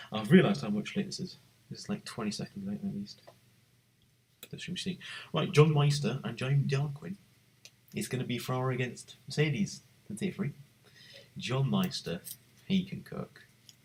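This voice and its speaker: A man speaks at a moderate pace with long, frequent pauses, his fairly high voice swinging very widely in pitch, with vocal fry and big shifts in loudness. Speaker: livestreamer hosting a sim racing league draft. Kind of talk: live commentary. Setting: live stream. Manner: whispering, keeping voice down; animated.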